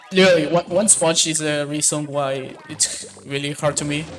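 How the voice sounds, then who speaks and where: A man with a non-native accent in a flat monotone, music playing in the background. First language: not English. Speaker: speedrunner. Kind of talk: live gameplay commentary. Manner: halting.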